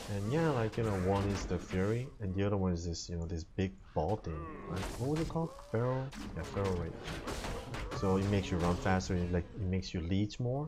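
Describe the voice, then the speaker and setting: With lively intonation and long, frequent pauses, a man with a fairly low voice talks fairly quickly over noticeable background noise. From Korea. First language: not English (English is third language). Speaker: video game streamer. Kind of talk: gameplay commentary. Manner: casual, filler-heavy.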